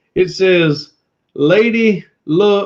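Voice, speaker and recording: The speaker is a man with a Southern US accent. The rise and fall of his voice is ordinary. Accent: country Southern. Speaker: former pastor turned reseller YouTuber. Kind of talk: casual live-stream chat. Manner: animated.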